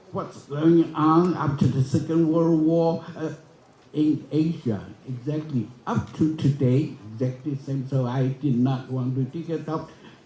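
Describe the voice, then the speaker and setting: Audible room echo surrounds a man with a fairly high pitch who talks at a fairly slow pace with fairly even intonation. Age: 80s. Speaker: forum speaker. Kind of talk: conference speech. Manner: halting, with many restarts.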